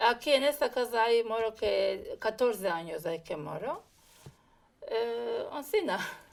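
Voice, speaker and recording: Speaking at a fairly slow pace, a woman has a plain, everyday voice, fairly high in pitch, with lively intonation. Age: 50s. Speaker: interviewee. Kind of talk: interview.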